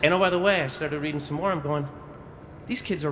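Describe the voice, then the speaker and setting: There is audible room echo around a man whose voice has a fairly high pitch. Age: 60s. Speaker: audience member asking a question. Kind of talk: audience Q&A comment. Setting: convention hall presentation with audience. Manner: halting, with fillers and repeats.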